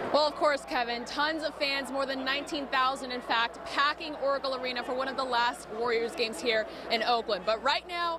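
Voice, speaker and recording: Raising and projecting her voice over noticeable background noise, a woman speaks at a high pitch and a fairly quick pace in an upbeat, energetic tone. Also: ordinary pitch variation. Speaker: TV sports host / reporter. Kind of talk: TV sports broadcast reporter, on-location stand-ups. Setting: outdoors in noisy arena with crowd chants. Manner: upbeat, energetic, live on-location.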